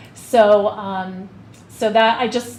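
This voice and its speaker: A woman speaks with a fairly high pitch and fairly even intonation. The room echo is audible and background noise is noticeable. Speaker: school administrator. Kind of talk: committee meeting presentation. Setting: school board meeting. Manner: fast.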